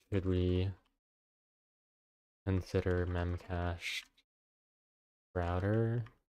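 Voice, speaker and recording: Quiet and very slow, a man speaks at a very deep, low pitch in a dark, mellow tone with monotone, flat intonation. Long pauses come often. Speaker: software developer streamer. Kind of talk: live coding stream. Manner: quiet, low.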